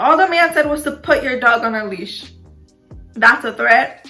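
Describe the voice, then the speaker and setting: A high-pitched woman's voice with ordinary pitch variation, over music in the background. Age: 20s. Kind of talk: casual talk to camera.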